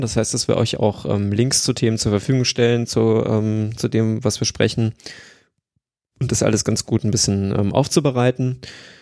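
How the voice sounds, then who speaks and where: A man's medium-pitched voice, dark and mellow, with fairly even intonation and a fairly quick pace. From Hesse, Germany. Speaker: podcast host, transport software planner. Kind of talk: casual chat.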